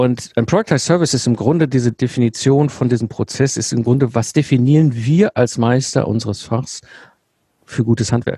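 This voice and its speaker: This man's voice is somewhat breathy with a dark, mellow tone, set at a medium pitch. His pitch varies in an ordinary way and his pace is moderate. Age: 40s. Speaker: systems engineer and business mentor. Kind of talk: interview.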